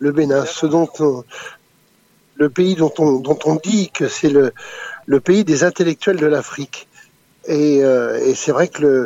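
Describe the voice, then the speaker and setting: A man with a fairly high voice and ordinary pitch variation talks very slowly, leaving long, frequent pauses. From France. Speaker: former intelligence operative and author. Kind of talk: interview. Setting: phone call.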